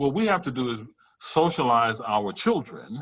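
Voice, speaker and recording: This man has a Louisiana accent and a medium pitch. He talks at a moderate pace with lively intonation. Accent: Southern US, Louisiana. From US South, Louisiana bayou country. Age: 60s. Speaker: professor. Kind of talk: workshop Q&A.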